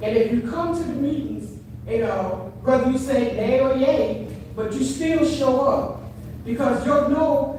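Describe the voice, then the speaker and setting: A woman speaks at a high pitch and a fairly slow pace, with fairly even intonation. Audible room echo and noticeable background noise fill the recording. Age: 60s. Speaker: resident speaking at public comment. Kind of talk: public comment at town meeting. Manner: impassioned.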